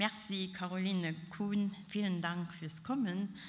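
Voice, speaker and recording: This woman has a normal speaking voice at a medium pitch, with fairly even intonation. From Luxembourg. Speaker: local politician. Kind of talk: formal speech. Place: hall. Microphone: podium.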